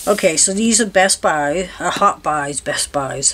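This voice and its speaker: There is light background noise as a woman talks. She speaks at a fairly slow pace with ordinary pitch variation. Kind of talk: casual haul vlog chat. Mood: relaxed, cheerful. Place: home room. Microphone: camera far.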